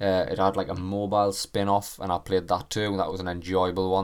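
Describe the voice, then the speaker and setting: A man with a British accent talks at a fairly quick pace. The recording is very clean, with a silent background. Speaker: gaming podcaster. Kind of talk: solo podcast commentary. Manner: animated.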